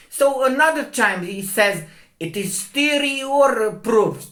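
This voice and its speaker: Audible room echo surrounds a man speaking with a non-native accent. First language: not English. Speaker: astronomy video maker. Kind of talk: video commentary. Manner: halting.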